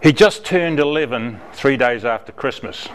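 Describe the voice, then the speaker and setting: A man speaks with a New Zealand accent and lively intonation. Background noise is noticeable. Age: 80s+. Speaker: mentor volunteer. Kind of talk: speech to a club.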